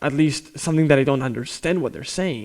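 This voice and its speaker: Speaking in a Spanish accent, a man uses a fairly high pitch. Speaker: drummer and YouTuber. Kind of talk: casual talk to camera. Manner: unscripted, hesitant with fillers.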